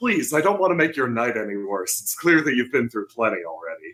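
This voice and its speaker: A man does a breathy put-on character voice at medium pitch, moving at a fairly quick pace with very wide pitch swings. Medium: actual play. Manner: courteous, mildly wry.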